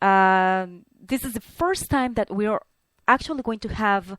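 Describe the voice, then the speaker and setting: A woman speaks with a Spanish accent and ordinary pitch variation. The recording is very clean, with a silent background and a dry, close sound with no echo. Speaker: talk show host. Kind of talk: podcast monologue with announcements. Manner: halting.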